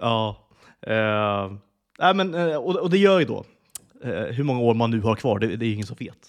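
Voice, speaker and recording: A man talks at a moderate pace and a medium pitch. His pitch swings very widely. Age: 30s. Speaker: podcast co-host. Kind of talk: casual chat.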